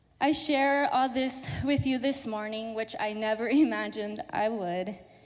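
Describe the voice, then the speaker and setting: Speaking with an American accent, a woman has an unremarkable speaking voice, a fairly high pitch and a fairly slow pace. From southern California, Mexican-born. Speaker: church office assistant. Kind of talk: testimony. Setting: church.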